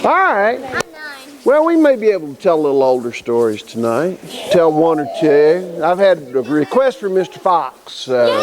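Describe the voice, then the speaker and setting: A man's high voice with very wide pitch swings at a moderate pace, over noticeable background noise. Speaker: storyteller. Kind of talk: casual talk to audience. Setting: live audience at a camp.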